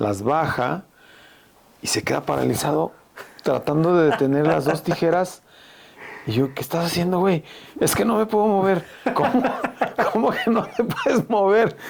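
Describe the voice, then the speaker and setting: Using very wide pitch swings, a man with a high voice talks at a moderate pace, leaving long, frequent pauses. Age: 60s. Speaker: veteran rock musician and music teacher. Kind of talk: casual chat.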